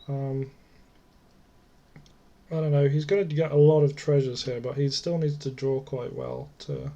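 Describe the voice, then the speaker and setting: This man talks at a moderate pace with flat, monotone intonation, a dark, mellow tone, a somewhat breathy quality and a fairly high pitch. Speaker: card game player. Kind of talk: casual gameplay commentary.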